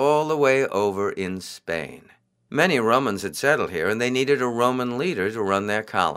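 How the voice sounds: A natural reading voice is heard, with a quiet background behind it.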